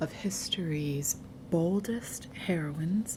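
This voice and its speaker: Her pitch is very deep and low, and this woman speaks at a very slow pace with ordinary pitch variation. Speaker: ASMR storyteller. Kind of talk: ASMR storytelling, soothing story time reading. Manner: soothing, soft.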